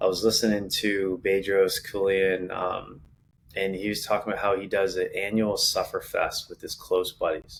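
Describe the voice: A man's low voice with vocal fry, little pitch movement and a moderate pace.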